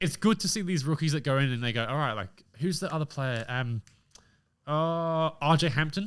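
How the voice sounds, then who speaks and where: A man with an Australian accent, fairly high-pitched and animated, with lively intonation at a moderate pace on a very clean recording with a silent background. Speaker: podcast host. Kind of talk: casual chat.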